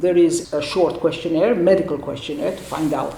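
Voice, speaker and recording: Noticeable background noise and audible room echo surround a woman speaking at a fairly low pitch. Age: 60s. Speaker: gynecologist. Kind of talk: interview. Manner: halting.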